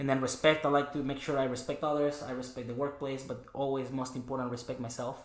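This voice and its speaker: With audible room echo, a man rattles off words at a very fast pace with hardly any pauses, at a medium pitch and in a monotone, flat delivery. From Mexico, Chihuahua. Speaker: cleaning business owner. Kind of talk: podcast interview. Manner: halting, many fillers.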